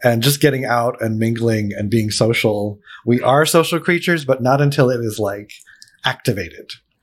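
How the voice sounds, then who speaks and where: A man with an American accent has an ordinary speaking voice at medium pitch. He keeps a moderate pace with ordinary pitch variation. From Pennsylvania, Allentown. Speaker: podcast host for a housing nonprofit. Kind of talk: casual interview. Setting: studio.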